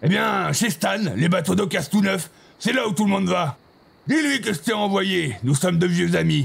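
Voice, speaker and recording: A man's put-on character voice, high-pitched with lively intonation, at a moderate pace and very even loudness. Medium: machinima. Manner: melodramatic.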